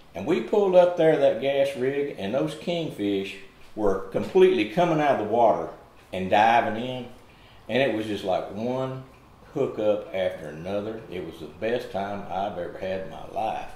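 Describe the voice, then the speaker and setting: At a moderate pace, a man talks with audible room echo around his voice. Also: big swings in loudness. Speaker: interviewer. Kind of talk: casual interview storytelling. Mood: enthusiastic, nostalgic. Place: home room. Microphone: camera far.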